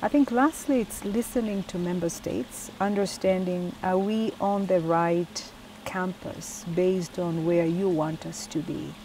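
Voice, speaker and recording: Speaking at a fairly slow pace with hardly any pauses, a woman with an East African accent uses medium pitch and ordinary pitch variation against noticeable background noise. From Tanzania. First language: Swahili. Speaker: UN agency executive. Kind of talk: interview. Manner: hesitant fillers.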